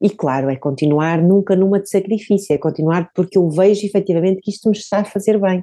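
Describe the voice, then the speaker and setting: A woman's dark, mellow voice at a medium pitch goes at a fairly quick pace. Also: quiet background. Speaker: author and zero-waste advocate. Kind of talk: casual interview.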